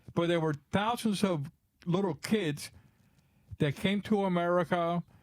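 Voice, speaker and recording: The speaker has a Spanish accent and talks at a fairly slow pace with fairly even intonation. The loudness stays very even, and the sound is dry and close with no echo. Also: man, high pitch for a man. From Cuba, raised in Florida from age ten. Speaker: drummer and drum bag maker. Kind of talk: podcast interview. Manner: halting, with restarts.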